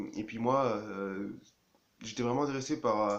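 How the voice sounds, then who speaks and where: The man talks at a moderate pace. His intonation stays fairly even. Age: 20s. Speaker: engineering student. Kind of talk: personal testimony. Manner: halting, many hesitations.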